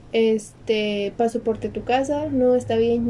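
Speaking at a fairly slow pace with a Mexican accent, a woman has a fairly high pitch. Her tone is dark and mellow, with fairly even intonation. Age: 20s. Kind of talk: casual chat.

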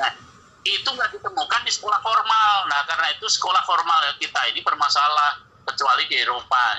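A man rattles along at a very fast pace amid noticeable background noise. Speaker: Islamic cleric and educator. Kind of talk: casual chat. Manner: loud.

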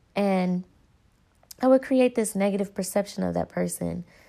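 A woman speaks with a Southern US accent. Her tone is dark and mellow. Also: very clean recording, silent background. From North Carolina, US South. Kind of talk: personal reflection monologue.

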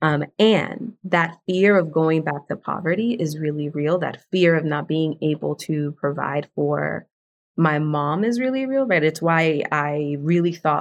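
A woman's very deep, low voice in a Spanish accent, lively in intonation and fairly slow in pace. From South Bronx, New York. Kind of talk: casual conversational interview.

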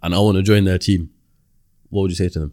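Recorded very cleanly against a silent background, a man with a fairly low pitch and a dark, mellow tone speaks in fairly even intonation, the sound dry and close with no echo. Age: 20s. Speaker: podcast host. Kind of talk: casual chat.

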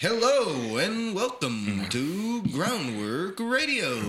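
In a put-on character voice, a man speaks very slowly at a high pitch, his pitch swinging very widely. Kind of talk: radio announcer.

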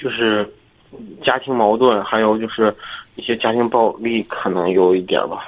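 A man speaks at a moderate pace with fairly even intonation and long, frequent pauses. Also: medium pitch for a man. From Zhangjiakou, Hebei. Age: 20s. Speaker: college student. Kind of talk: phone-in confession. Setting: phone call. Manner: halting.

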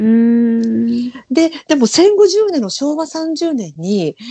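A woman's high-pitched voice, dark and mellow in tone, with very wide pitch swings. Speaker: podcast co-host. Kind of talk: casual chat.

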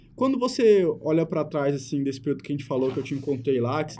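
A man's fairly high, somewhat breathy voice with a dark, mellow tone at a very fast pace. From Brazil, Mato Grosso do Sul (Itaquiraí). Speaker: podcast host, journalist. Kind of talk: casual interview. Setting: studio, live videocast.

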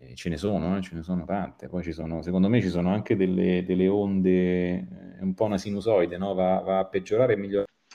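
A man speaks very fast with hardly any pauses, his very deep, low voice dark and mellow in tone, his intonation fairly even. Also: big swings in loudness. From Italy. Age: 40s. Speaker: photographer and graphic designer. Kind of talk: interview. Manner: halting, repeats words.

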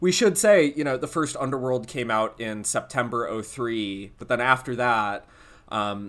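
An unremarkable speaking voice comes through in a very clean recording with a silent background. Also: man. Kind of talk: casual chat.

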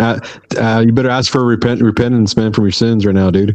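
A man with an American accent, medium pitch, and a monotone, flat intonation. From Texas. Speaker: podcast host. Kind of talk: casual chat.

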